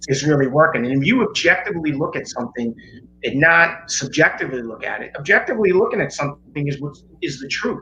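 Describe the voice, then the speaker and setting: Very fast and lively, a man speaks at a fairly high pitch with big swings in loudness. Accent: New York. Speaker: chiropractor. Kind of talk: interview explanation.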